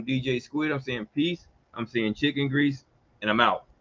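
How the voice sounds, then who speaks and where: A man with an American accent and a fairly high voice speaks in an animated tone. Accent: Geechee, Southern. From US South, Georgia and Mississippi. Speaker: radio talk show host and legal consultant. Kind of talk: live radio talk show monologue. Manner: fast.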